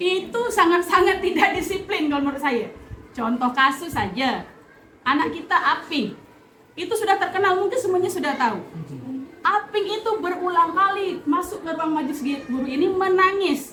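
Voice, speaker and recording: Projecting a raised voice at an extremely high pitch, a woman talks at a moderate pace with lively intonation, over noticeable background noise and audible room echo. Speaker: teacher. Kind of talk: staff meeting discussion.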